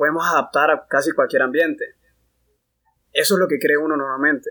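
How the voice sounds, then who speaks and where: With a bright, sharp tone, a man speaks fairly quickly at a fairly high pitch. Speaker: engineering student representative. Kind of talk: casual chat.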